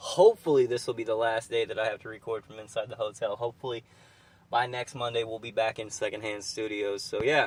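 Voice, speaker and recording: A man mumbles at a very fast pace. His medium pitch holds fairly even intonation. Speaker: wrestling podcast host. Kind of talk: casual podcast commentary. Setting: inside a car. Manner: rambling, mumbling.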